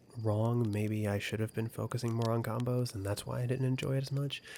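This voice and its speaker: A soft-spoken man talks. His tone is dark and mellow. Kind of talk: soft-spoken video game review.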